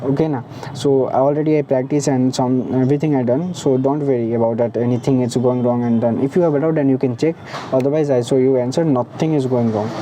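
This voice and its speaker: Someone speaks at a very fast pace amid noticeable background noise. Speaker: teacher. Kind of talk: tutorial. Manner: halting, frequent restarts and fillers.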